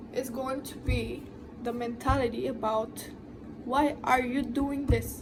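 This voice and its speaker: A woman's high-pitched voice at a very slow pace, fairly even in intonation, with audible room echo and noticeable background noise. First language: not English. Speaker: tattoo artist, vlogger. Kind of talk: advice monologue to camera.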